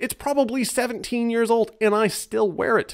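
Moderately paced male speech over a quiet background. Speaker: voice actor. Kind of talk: casual talk to camera. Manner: humorous. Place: home room. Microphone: studio mic.

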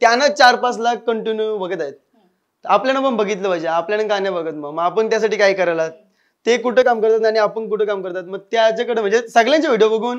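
Against a quiet background, a man talks with a high pitch and ordinary pitch variation. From India, Panvel area (Maharashtra); Maharashtra. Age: 20s. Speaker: comedy YouTuber; interview guest, YouTube comedy actor. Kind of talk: interview. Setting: studio. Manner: casual, colloquial. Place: studio.

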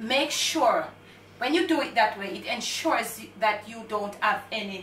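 A woman's raised, projected voice comes at a moderate pace, with audible room echo and light background noise. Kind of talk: tutorial. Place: kitchen.

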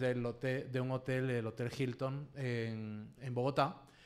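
This man has a normal speaking voice and fairly even intonation. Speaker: abuse survivor and activist. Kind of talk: panel discussion.

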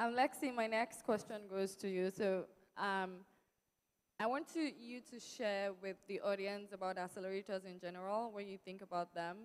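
Her loudness swings widely as a woman speaks at a moderate pace. The pitch varies in an ordinary way. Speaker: panel moderator, startup representative. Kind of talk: panel moderation. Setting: stage with audience. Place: stage. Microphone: handheld.

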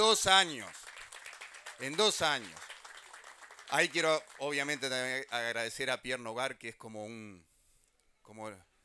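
Crowd noise fills the background as a man speaks with lively intonation, big swings in loudness, and long, frequent pauses. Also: fairly slow pace. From Uruguay. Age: 50s. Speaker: government minister. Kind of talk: public speech. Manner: halting, repeats words. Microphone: handheld.

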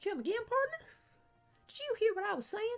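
Over faint background music, a man does a squeaky put-on character voice at an extremely high pitch and a fairly quick pace. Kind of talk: character voice reading game dialogue. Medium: solo performance. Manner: folksy, brash, theatrical. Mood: huffy.

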